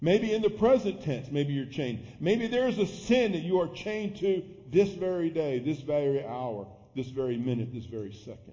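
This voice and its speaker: Somewhat breathy, a man speaks at a moderate pace. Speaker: pastor. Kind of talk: sermon. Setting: church.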